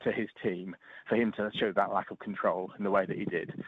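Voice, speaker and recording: This man speaks with an East Anglian accent. His pace is fairly quick. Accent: English (East Anglia). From Norfolk, England. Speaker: football pundit. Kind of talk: casual chat.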